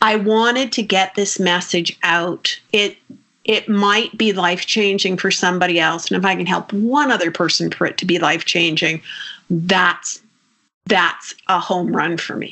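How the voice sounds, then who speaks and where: This woman has a normal speaking voice, medium in pitch, with ordinary pitch variation at a moderate pace. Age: 60s. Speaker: nutritionist. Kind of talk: interview.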